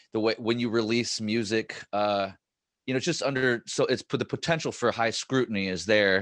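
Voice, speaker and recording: A man with an unremarkable speaking voice talks at a medium pitch with ordinary pitch variation. The sound is dry and close with no echo, over a quiet background. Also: moderate pace. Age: 40s. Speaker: podcast host. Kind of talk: podcast interview.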